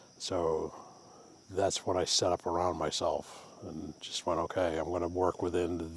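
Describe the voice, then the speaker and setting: A man's very deep, low voice in a Maine accent, relaxed and monotone with flat intonation, at a fairly slow pace. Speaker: woodturner and craft vlogger. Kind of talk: casual vlog monologue. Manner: relaxed, with frequent fillers.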